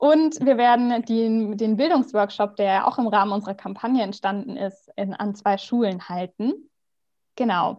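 The voice is a woman's, an unremarkable speaking voice. It sits fairly high and varies in pitch in an ordinary way. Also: moderate pace. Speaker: youth environmental activist. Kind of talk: interview. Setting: remote recording.

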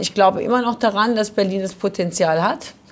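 At a fairly quick pace, a woman speaks in a normal speaking voice of medium pitch with ordinary pitch variation. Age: 40s. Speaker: fashion trade fair organizer. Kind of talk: casual chat. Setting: bar.

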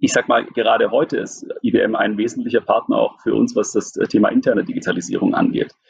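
A man talks with hardly any pauses and very even loudness. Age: 30s. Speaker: business executive. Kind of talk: interview. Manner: hesitant with many fillers.

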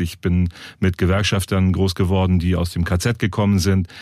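Talking at a moderate pace is a man. His pitch is very deep and low. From northern Germany. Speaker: podcast host, local politician. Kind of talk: interview.

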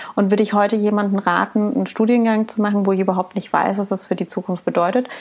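A woman with a medium pitch talks at a very fast pace. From Saxony, near Dresden. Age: 30s. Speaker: podcast co-host. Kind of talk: casual chat.

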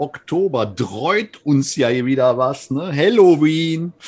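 Lively intonation marks the speech of a man who talks at a very slow pace. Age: 40s. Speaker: politician, podcast co-host. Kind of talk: casual chat. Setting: bar.

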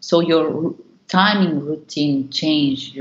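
The speaker has a Spanish accent and a fairly even intonation. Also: woman. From Argentina. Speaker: dance company artistic director. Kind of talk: interview. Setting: video call. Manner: halting.

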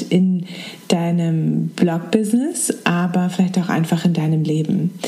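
A woman speaks in a soothing, calm tone at a fairly slow pace. There is noticeable background noise. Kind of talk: guided meditation. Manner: soft-spoken, slow and soothing; calm, with gentle pauses.

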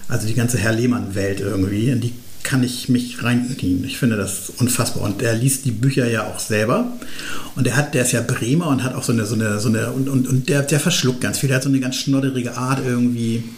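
Over noticeable background noise and audible room echo, a man speaks fairly quickly at medium pitch with fairly even intonation. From northern Germany, Schleswig-Holstein. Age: 50s. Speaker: journalist and author. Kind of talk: casual interview. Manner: halting, with many fillers.

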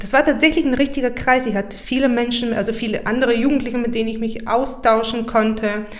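Audible room echo surrounds a woman's fairly high voice. She talks at a fairly quick pace. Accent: Bulgarian. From Bulgaria, Burgas. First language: Bulgarian (speaking German). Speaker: poet. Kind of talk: interview conversation. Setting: in the guest's home.

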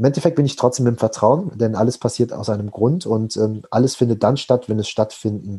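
A man speaks at a moderate pace and medium pitch, his voice somewhat breathy. The tone is dark and mellow, with ordinary pitch variation. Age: 20s. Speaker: personal development coach. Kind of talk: podcast interview.

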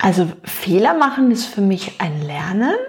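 The woman talks very slowly. Some breathiness runs through her voice. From Luxembourg. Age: 40s. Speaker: nutrition expert. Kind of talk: interview.

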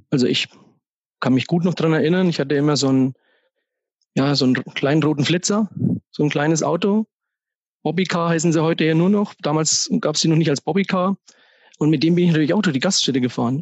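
This man has a fairly high pitch with ordinary pitch variation and very even loudness. His pace is fairly quick, broken by long, frequent pauses. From Upper Franconia, Germany (Kronach area). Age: 40s. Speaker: financial advisor and business owner. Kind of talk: podcast interview.

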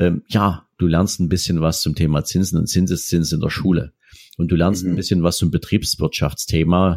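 A man speaks at a fairly quick pace in a very deep, low voice with a dark, mellow tone, recorded with a dry, close sound and no echo. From Saxony, Dresden. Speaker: wealth manager. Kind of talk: interview.

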